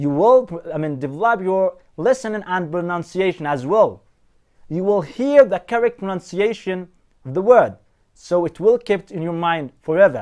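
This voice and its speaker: A man with a non-native accent speaks at a moderate pace and high pitch. His intonation is lively, against a quiet background. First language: not English. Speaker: English teacher. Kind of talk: tutorial.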